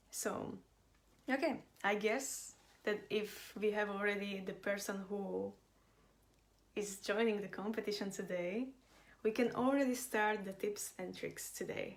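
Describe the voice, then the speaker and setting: Long, frequent pauses break up a voice with vocal fry and fairly even intonation. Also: woman, medium pitch for a woman, fairly slow pace. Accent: Slovak. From Slovakia. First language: Slovak. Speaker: business and design consultant. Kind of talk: live online class. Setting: livestream.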